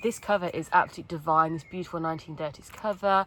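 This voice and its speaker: With a Wolverhampton accent, a woman talks very fast at a fairly low pitch with ordinary pitch variation against noticeable background noise. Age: 30s. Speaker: book vlogger. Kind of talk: casual chat. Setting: filming in a tent. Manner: animated.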